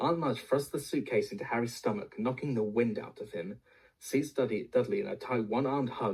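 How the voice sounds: The clip features a natural reading voice. That voice is all there is to hear.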